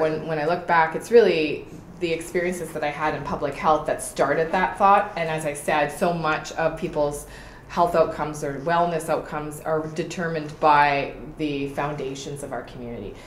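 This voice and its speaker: Speaking with a Canadian accent, a woman sounds passionate at a moderate pace and fairly low pitch, her loudness swinging widely, with audible room echo and noticeable background noise. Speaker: political candidate. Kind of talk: interview.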